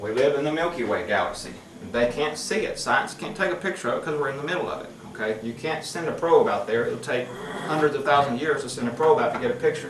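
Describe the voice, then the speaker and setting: Amid audible room echo and noticeable background noise, a man with a fairly high pitch talks at a very fast pace. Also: lively intonation. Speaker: preacher. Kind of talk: sermon.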